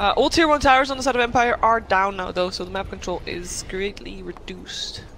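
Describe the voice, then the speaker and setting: With a non-native accent, the speaker goes at a fairly quick pace over noticeable background noise. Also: hardly any pauses. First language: not English. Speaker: esports commentator. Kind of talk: live commentary.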